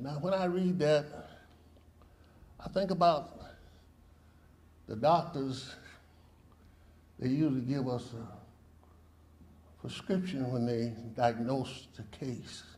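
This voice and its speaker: In a room with audible echo, a man speaks very slowly at a medium pitch, somewhat breathy, with ordinary pitch variation, big swings in loudness and long, frequent pauses. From US South, Mississippi. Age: 80s+. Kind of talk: protest speech. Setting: press conference.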